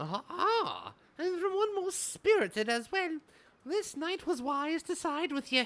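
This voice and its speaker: A put-on character voice at a fairly slow pace. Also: man, extremely high pitch for a man. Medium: game stream. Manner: grandiose, archaic, refers to himself as this knight.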